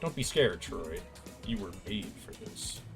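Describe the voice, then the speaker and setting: A man in a put-on character voice at a moderate pace, with clear music in the background. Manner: spooky, reassuring.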